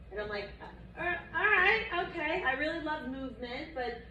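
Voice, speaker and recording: A woman speaks in a raised, projected voice with an animated tone at a fairly quick pace. Audible room echo and noticeable background noise fill the recording. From Long Island, New York. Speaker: wellness instructor. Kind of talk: workshop talk to live audience.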